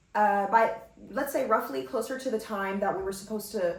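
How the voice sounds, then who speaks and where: An animated woman with an American accent speaks at a medium pitch. Audible room echo and noticeable background noise fill the recording. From US West Coast, Los Angeles. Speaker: podcast host. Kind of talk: casual storytelling podcast monologue.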